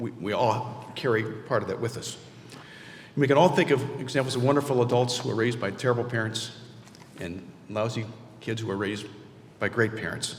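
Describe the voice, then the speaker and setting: Long pauses come often in this speech, and the pitch varies in an ordinary way. Room echo can be heard. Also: man, medium pitch for a man, fairly quick pace. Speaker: award honoree. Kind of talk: award acceptance speech. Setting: stage with audience. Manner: fast; halting.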